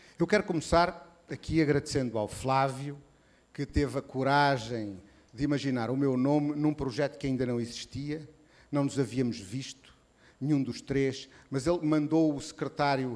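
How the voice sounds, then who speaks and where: At a fairly slow pace, a man with a medium pitch and a European Portuguese accent speaks with ordinary pitch variation. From Portugal. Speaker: association president and event curator. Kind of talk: reading a prepared speech. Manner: slower than usual; hesitant, with fillers.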